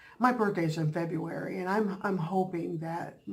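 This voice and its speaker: A woman with a fairly low pitch speaks at a moderate pace with fairly even intonation. Audible room echo and noticeable background noise surround her. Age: 50s. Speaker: vlogger and bible study leader. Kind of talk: casual vlog chat. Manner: halting, many fillers.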